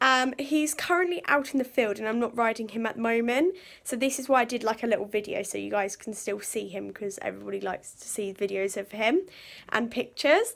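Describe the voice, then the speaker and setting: A woman talks at a fairly quick pace with lively intonation. Her loudness swings widely. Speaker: horse channel vlogger. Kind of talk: casual vlog chat. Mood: cheerful, a bit sheepish. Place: home room. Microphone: phone near.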